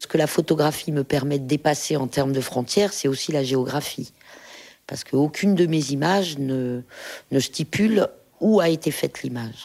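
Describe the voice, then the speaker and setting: In a very clean recording with a silent background, a woman speaks at a moderate pace. Her pitch is very deep and low, her tone dark and mellow, with ordinary pitch variation. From France, Saint-Étienne region. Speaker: photographer and filmmaker. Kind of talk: interview talk with readings from her book. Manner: hesitant, many filler sounds.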